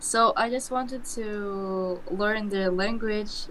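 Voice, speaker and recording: The speaker is a woman with a medium-pitched voice. She talks very slowly. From Kazakhstan. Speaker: random video chat partner. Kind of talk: casual chat. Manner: halting.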